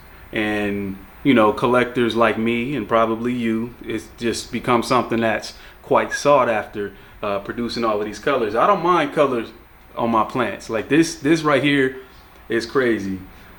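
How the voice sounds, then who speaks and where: Moderately paced male speech with ordinary pitch variation, noticeable background noise underneath. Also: medium pitch for a man. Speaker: plant collector YouTuber. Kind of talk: casual tutorial plant tour. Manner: casual, relaxed.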